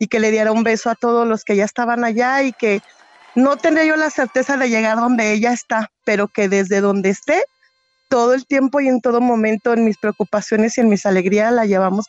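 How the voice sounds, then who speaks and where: A woman's normal speaking voice, fairly high in pitch, fairly quick, with ordinary pitch variation and very even loudness. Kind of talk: testimony.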